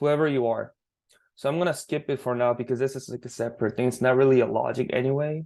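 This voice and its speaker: Against a quiet background, a man with a non-native accent talks at a medium pitch with fairly even intonation. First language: not English. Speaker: student developer teaching teammates. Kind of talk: screen-share coding tutorial. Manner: halting, self-correcting.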